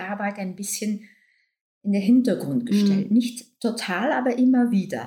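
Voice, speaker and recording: A woman speaks with a Dutch accent. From Belgium (Flanders). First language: Dutch (speaking German). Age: 60s. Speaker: doctor and author. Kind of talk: casual interview. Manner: laughs a lot.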